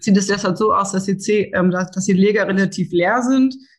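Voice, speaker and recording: A woman speaks at a moderate pace in a somewhat breathy, medium-pitched voice with fairly even intonation. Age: 30s. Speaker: seed sales and grain buyer. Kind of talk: podcast interview.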